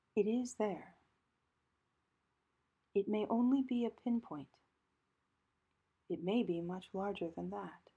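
A woman speaks very slowly and calmly at a medium pitch, with ordinary pitch variation, a dark, mellow tone, and long, frequent pauses. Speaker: priest and spiritual director, guided meditation leader. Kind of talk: guided meditation. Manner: calm, slow, with long pauses.

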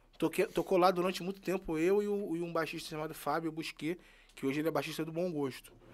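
A man speaks fairly quickly at a high pitch, his intonation fairly even. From Rio de Janeiro, Jacarezinho; Rio de Janeiro. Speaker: musician and singer; guest. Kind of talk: interview; interview answer. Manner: halting. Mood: relaxed, friendly. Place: studio. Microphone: studio mic.

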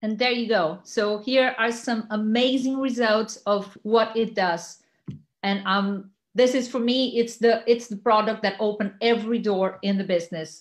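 In a plain, everyday voice, a woman speaks at a moderate pace with a fairly high pitch. Her intonation stays fairly even against a quiet background. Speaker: network marketer; presenter. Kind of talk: sales pitch. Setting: video call. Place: home room. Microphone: webcam.

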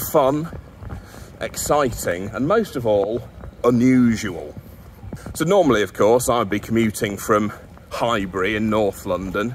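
A man speaks at a fairly slow pace, with long, frequent pauses. His pitch variation is ordinary, and light background noise can be heard. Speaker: vlogger presenter. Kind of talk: casual vlog chat. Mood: wry, humorous. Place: street. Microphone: phone near.

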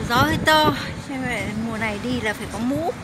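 A woman is speaking. Loud background noise is heard. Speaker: travel vlogger. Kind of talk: casual tour commentary. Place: waterside. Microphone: phone near.

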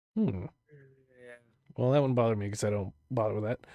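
The voice has a dark, mellow tone and ordinary pitch variation, recorded with a dry, close sound and no echo. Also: man. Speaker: interview show host. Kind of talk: casual interview chat. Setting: online voice call. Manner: playful.

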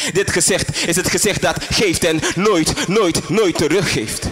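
A man's high-pitched, dramatic voice at a very slow pace. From Suriname. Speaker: spoken word poet. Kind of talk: spoken word poem performance, intense and confessional. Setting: stage with audience. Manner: dramatic, slow and deliberate with pauses, repeating lines for emphasis. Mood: somber, intense. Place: stage.

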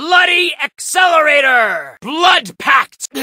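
A man in a put-on character voice, raised and projected, at a very slow pace. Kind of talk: video game character voice lines. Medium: dub. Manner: intense, shouted battle cries.

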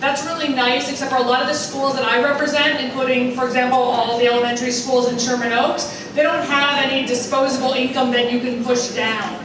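Her voice is high-pitched, and the woman talks at a fairly quick pace. Audible room echo and noticeable background noise are present. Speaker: guest. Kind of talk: public speech. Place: hall.

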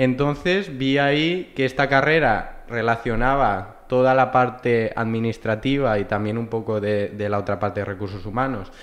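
A man's medium-pitched voice at a moderate pace, with ordinary pitch variation and hardly any pauses. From Valencia region, Spain. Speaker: human resources graduate; podcast guest. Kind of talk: casual interview. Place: meeting room. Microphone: studio mic.

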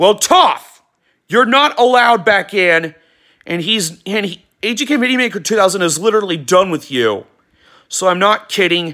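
Shouting in a raised, projected voice, the speaker sounds angry, with a bright, sharp tone and lively intonation. The pace is fairly slow and the background is quiet. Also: man. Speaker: YouTube vlogger. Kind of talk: angry rant aimed at a banned user, mixed with a casual channel announcement. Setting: home video recording, weather radio on wall. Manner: angry, emphatic, sarcastic, scolding with stressed words and shouted lines; rambling, repeats words and restarts sentences. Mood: annoyed, ranting. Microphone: phone near.

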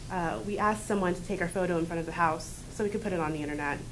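Over light background noise, a woman talks at a very fast pace in a fairly low pitch with ordinary pitch variation. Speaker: college student. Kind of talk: reading aloud. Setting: stage with audience. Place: classroom. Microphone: camera far.

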